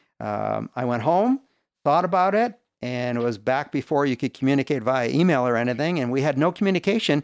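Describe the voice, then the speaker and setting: A man's normal speaking voice, fairly high in pitch with ordinary pitch variation and a fairly quick pace, dry and close with no echo against a quiet background. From Canada. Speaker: business leader. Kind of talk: testimony.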